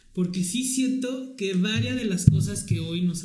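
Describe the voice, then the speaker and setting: A man's dark, mellow tone with audible room echo. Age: 30s. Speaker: podcast host. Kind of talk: casual chat.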